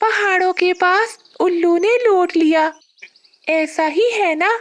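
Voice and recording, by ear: This cartoonish character voice has an extremely high pitch and moves at a fairly slow pace.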